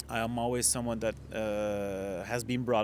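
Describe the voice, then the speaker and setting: A man with a Flemish accent talks at a moderate pace. His fairly low voice has lively intonation. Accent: Flemish Belgian. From Ghent, Belgium. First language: Dutch. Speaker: hospitality entrepreneur. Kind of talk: podcast interview answer. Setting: outdoors. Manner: hesitant, many filler sounds.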